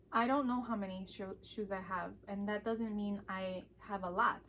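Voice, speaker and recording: Fairly even intonation marks a woman speaking in a Chicago accent. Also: hardly any pauses. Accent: Chicago American English. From Chicago, US Midwest. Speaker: vlogger. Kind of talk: casual chat.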